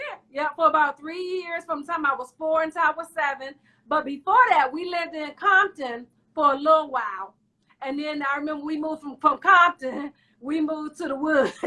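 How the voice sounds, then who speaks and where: Projecting a raised voice, a woman talks at a fairly quick pace with high pitch, ordinary pitch variation, a bright, sharp tone and big swings in loudness. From Washington, D.C. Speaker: talk show host. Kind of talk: casual interview chat.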